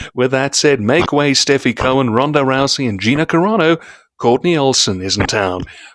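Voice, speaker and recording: At a moderate pace, a man with a fairly high pitch swings very widely in tone, recorded with a dry, close sound and no echo. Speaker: show co-host and announcer. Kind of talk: casual live chat; scripted guest introduction.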